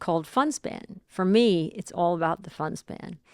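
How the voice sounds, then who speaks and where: On a very clean recording with a silent background, a woman speaks at a fairly low pitch and a fairly slow pace. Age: 40s. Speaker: biohacking expert and wellness speaker. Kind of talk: podcast interview. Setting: studio. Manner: halting, many fillers and restarts.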